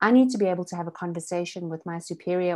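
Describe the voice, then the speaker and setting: An unremarkable speaking voice carries fairly even intonation. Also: woman. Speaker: business consultant. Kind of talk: online masterclass presentation.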